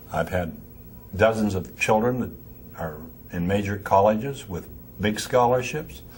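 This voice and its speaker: Somewhat breathy and fairly low-pitched, a man speaks with ordinary pitch variation amid audible room echo. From Pennsylvania, north of Pittsburgh. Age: 80s+. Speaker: music store owner. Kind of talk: interview. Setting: trade convention.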